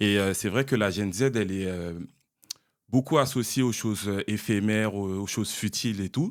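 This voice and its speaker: Using a normal speaking voice, a man talks at a moderate pace with a fairly low pitch and ordinary pitch variation. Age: 30s. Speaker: podcast host. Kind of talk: casual interview.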